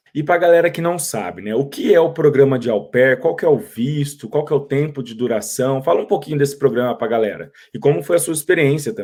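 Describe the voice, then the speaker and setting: With an unremarkable speaking voice, a man talks at a fairly quick pace and fairly high pitch, his intonation lively and hardly any pauses. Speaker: YouTube host, interviewer. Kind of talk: interview. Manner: friendly, informal.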